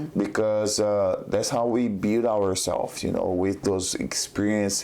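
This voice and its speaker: A man with a Brazilian accent speaks in a flat monotone, fairly slowly and at a fairly low pitch. His loudness stays very even, and noticeable background noise runs underneath. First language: Portuguese. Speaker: jiu-jitsu competitor. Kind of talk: podcast interview. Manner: halting, many fillers.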